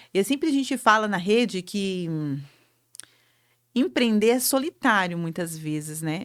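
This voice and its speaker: In a very clean recording with a silent background, a woman of medium pitch speaks at a fairly slow pace, her pitch swinging very widely and her speech broken by long, frequent pauses. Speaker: entrepreneurship show host. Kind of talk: motivational talk. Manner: animated.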